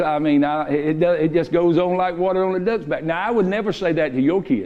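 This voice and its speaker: A man with a Southern US accent speaks loudly in a high pitch. His pace is moderate and his pitch varies normally. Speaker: pastor. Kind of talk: sermon. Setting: church. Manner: sounds stern, like he's mad.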